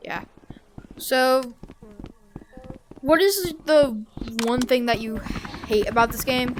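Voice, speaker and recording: Against noticeable background noise, a woman speaks at a very slow pace and a high pitch with lively intonation, big swings in loudness and long, frequent pauses. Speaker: gaming video host. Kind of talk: casual interview. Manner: halting.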